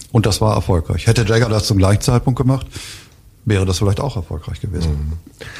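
Through noticeable background noise, a man talks at a very fast pace broken by long, frequent pauses, with ordinary pitch variation. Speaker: author and publisher. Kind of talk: interview about his book. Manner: halting with many fillers.

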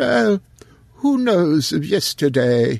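A man puts on a wheezy character voice, pitched fairly high, with lively intonation. The sound is dry and close, with no echo.

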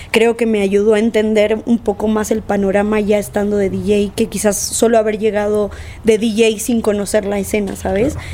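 A woman speaks in a flat monotone at a medium pitch and a moderate pace. Noticeable background noise can be heard. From Argentina. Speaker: DJ and producer. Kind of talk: casual interview.

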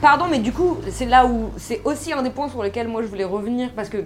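Noticeable background noise sits behind a woman speaking. She goes at a very fast pace with lively intonation. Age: 20s. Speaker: film podcast co-host. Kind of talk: casual chat.

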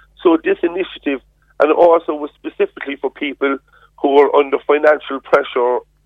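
A man with a Cork accent at a fairly quick pace. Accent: Cork Irish. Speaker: politician. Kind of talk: radio interview.

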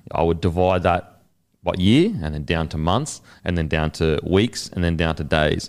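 On a very clean recording with a silent background, a man with an Australian accent speaks at a moderate pace, his pitch very deep and low and his intonation fairly even. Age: 30s. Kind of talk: casual chat.

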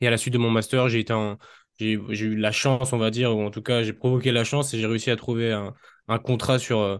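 Over a quiet background, a man with a medium pitch speaks at a fairly quick pace in monotone, flat intonation. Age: 20s. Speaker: strength and conditioning coach. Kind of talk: casual interview.

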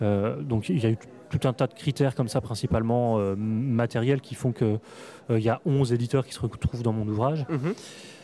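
Music in the background behind a man at a medium pitch and a moderate pace, with ordinary pitch variation. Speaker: comics writer and critic. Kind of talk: interview. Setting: comics festival.

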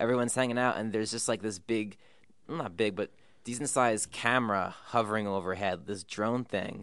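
A man's voice at a fairly quick pace, with ordinary pitch variation, over a quiet background. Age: 20s. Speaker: music podcast host. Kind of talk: casual interview. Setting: studio, office room high up in a building.

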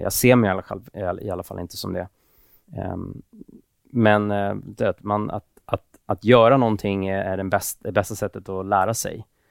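A man speaks at a moderate pace with fairly low pitch and fairly even intonation. The recording is very clean with a silent background and a dry, close sound with no echo. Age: 30s. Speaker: tech entrepreneur. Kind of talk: casual interview. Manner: hesitant.

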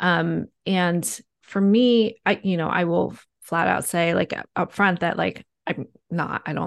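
A woman with an American accent speaks at a fairly low pitch against a quiet background. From US East Coast. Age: 40s. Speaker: journalist and author. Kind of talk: interview.

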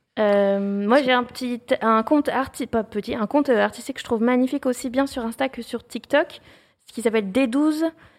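Heard in a very clean recording with a silent background, a woman speaks at a high pitch. Her pace is moderate and her pitch variation ordinary. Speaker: YouTuber, history educator. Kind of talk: interview. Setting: studio, livestream with chat.

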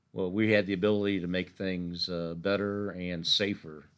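Recorded very cleanly over a silent background, a man speaks in a very deep, low pitch with fairly even intonation. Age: 70s. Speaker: youth minister. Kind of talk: interview.

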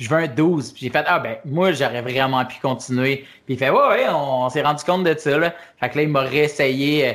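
The man has an unremarkable speaking voice, fairly high in pitch, moving at a moderate pace with fairly even intonation. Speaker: stand-up comedian. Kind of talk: casual interview.

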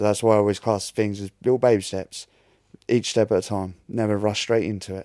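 Speaking fairly quickly, a man uses a Norfolk accent at a fairly low pitch. His intonation is monotone and flat. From Great Yarmouth, Norfolk, England. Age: 30s. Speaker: brain injury survivor. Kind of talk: interview. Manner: halting.

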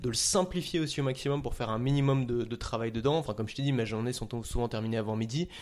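A man speaks at a very fast pace. His voice is medium in pitch with ordinary pitch variation. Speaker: content creator. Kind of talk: casual chat.

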